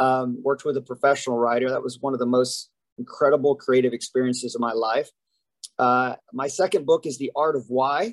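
In an American accent, a man with an ordinary speaking voice and medium pitch talks at a fairly quick pace, the sound dry and close with no echo. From US South, Huntsville, Alabama. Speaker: keynote speaker and author. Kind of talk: podcast interview.

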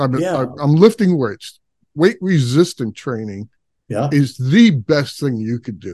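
A man with an unremarkable speaking voice talks at a moderate pace with lively intonation and a fairly high pitch. The background is quiet, and the sound is dry and close with no echo. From Brooklyn, New York. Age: 60s. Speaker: podcast host. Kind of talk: podcast interview.

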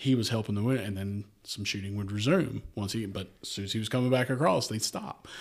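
A man with a Shenandoah Valley accent, fairly low in pitch, at a fairly quick pace with hardly any pauses, in a very clean recording over a silent background. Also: ordinary pitch variation. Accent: Shenandoah Valley (Virginia). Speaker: history guest, Civil War travel content creator. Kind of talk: casual chat about history and bourbon.

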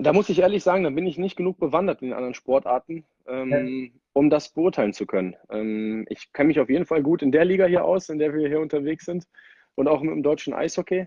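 A man with a plain, everyday voice speaks fairly quickly at a fairly high pitch, with ordinary pitch variation and big swings in loudness. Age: 30s. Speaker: ice hockey player. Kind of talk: casual interview.

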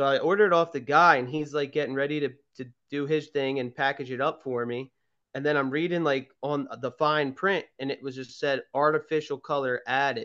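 With a Philadelphia accent, a man talks at a fairly quick pace in a fairly high pitch, his tone bright and sharp and his intonation fairly even. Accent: Philadelphia-area American. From Pennsylvania, Garnet Valley. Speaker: podcast co-host. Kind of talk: casual chat.

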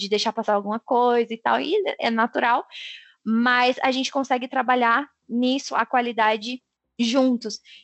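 This woman has a normal speaking voice, fairly high in pitch, with fairly even intonation at a moderate pace. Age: 20s. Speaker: software quality assurance professional. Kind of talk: casual interview chat.

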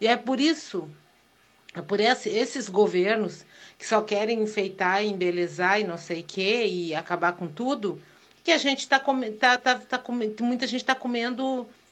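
A woman's ordinary speaking voice, moderate in pace, with ordinary pitch variation. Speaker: listener sending voice message. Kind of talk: voice message.

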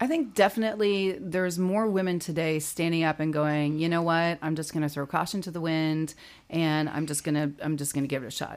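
A woman has an unremarkable speaking voice, fairly low in pitch with ordinary pitch variation. She talks at a fairly quick pace with hardly any pauses, in a very clean recording with a silent background. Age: 40s. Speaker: plus-size model and entrepreneur. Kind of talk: interview.

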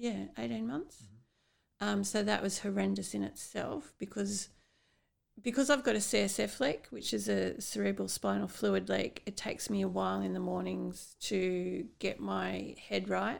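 A woman talks with an Australian accent. Her pace is fairly slow. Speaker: podcast host and brain aneurysm survivor. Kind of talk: interview, conversational. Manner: slow, halting, with memory lapses.

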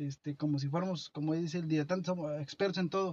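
His voice sits fairly high for a man. Across the clip, this male speaker keeps his intonation fairly even. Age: 30s. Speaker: podcast co-host. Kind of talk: casual chat. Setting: at a friend's home. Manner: halting.

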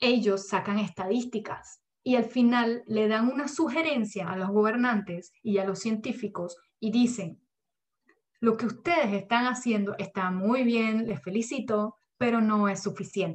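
Somewhat breathy and fairly high-pitched, a woman talks at a fairly slow pace. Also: ordinary pitch variation. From Germany. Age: 20s. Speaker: climate change educator. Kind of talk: lecture.

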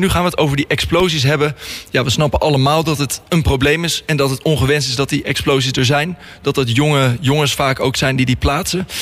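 A man's very fast speech, fairly high in pitch, over music in the background. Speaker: radio host. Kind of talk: radio interview. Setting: studio.

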